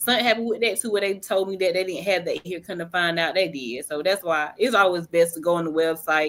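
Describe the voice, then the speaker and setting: A woman's fairly low voice, fairly quick in pace, with ordinary pitch variation. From North Carolina, near Greenville. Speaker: author and housing advocate. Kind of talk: podcast interview.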